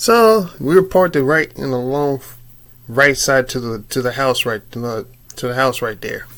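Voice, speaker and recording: Here a man uses a normal speaking voice at medium pitch. His intonation is lively and his pace moderate. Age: 30s. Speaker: YouTuber telling a personal story. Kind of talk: casual storytelling vlog. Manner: casual, slangy with frequent fillers and repetition.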